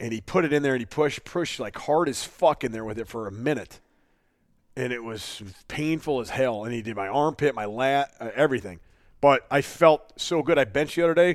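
A man's plain, everyday voice at a medium pitch, fairly quick in pace, with ordinary pitch variation, big swings in loudness, and a very clean recording over a silent background. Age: 30s. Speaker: podcast co-host, strength athlete. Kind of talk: casual chat. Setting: studio. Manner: laughs often.

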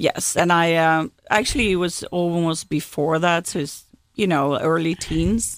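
A woman with a Swedish accent, fairly low in pitch and fairly slow in pace, in a very clean recording with a silent background. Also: ordinary pitch variation. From Sweden, Gothenburg. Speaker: automotive executive. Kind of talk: interview.

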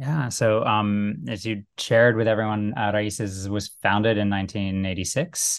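Against a quiet background, a man with a General American accent and an unremarkable speaking voice talks at a moderate pace with a fairly low pitch and hardly any pauses. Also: ordinary pitch variation. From US (Little Rock and DC suburbs). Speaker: nonprofit executive. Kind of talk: interview. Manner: many fillers (um, uh).

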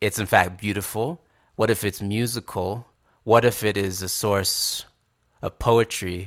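In a very clean recording with a silent background, the speaker goes at a moderate pace in monotone, flat intonation, with long, frequent pauses. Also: man, fairly low pitch for a man. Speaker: musician. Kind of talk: interview conversation. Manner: halting, repeating words.

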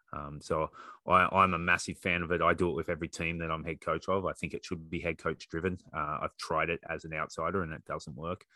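An Australian accent at a fairly quick pace, on a very clean recording with a silent background and a dry, close sound with no echo. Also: man. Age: 40s. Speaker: rugby coach and PE teacher. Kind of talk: casual discussion.

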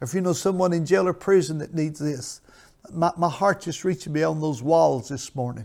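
The tone is intense. A man speaks at a fairly quick pace. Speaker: pastor. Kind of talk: televised sermon with call-in appeal. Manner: fervent, emphatic, repeats phrases, exhorting with intense pulpit energy.

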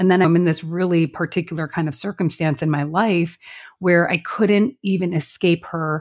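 With a Chicago accent, a woman talks at a moderate pace in a fairly low pitch with ordinary pitch variation. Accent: Midwest American (Chicago area). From Chicago suburbs, US Midwest. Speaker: podcast co-host and business owner. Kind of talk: casual chat.

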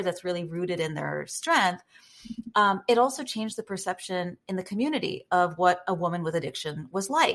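Here a woman with an unremarkable speaking voice, medium in pitch, speaks at a moderate pace with lively intonation. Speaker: guest, personal brand and storytelling coach. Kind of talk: podcast interview.

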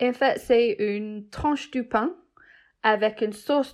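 Over a quiet background, a woman talks at a very slow pace with ordinary pitch variation. She has an English accent. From England. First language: English (speaking French). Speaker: cheesemaker. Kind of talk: casual interview chat. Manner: halting.

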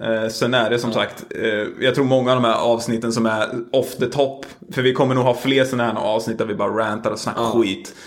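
Noticeable background noise sits behind a man speaking at a fairly quick pace, medium pitch and fairly even intonation. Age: 20s. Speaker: podcast host. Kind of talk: casual chat. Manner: sleepy-sounding.

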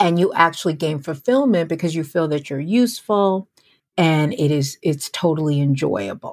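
An ordinary speaking voice with lively intonation, in a very clean recording with a silent background. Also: woman, fairly low pitch for a woman, moderate pace. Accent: American. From US Northeast, near New York City. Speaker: podcast host, career coach. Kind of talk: solo podcast monologue.

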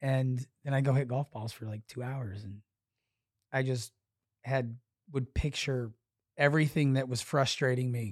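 In a very clean recording with a silent background and a dry, close sound with no echo, a man speaks at a medium pitch and moderate pace with fairly even intonation and long, frequent pauses. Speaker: podcast guest, poker dealer. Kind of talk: casual chat, interview.

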